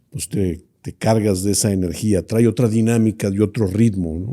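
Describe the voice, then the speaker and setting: The speech moves at a moderate pace with ordinary pitch variation. The recording is very clean against a silent background. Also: man. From Mexico, Monterrey (Nuevo León). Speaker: business association leader. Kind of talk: interview. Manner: hesitant, many fillers.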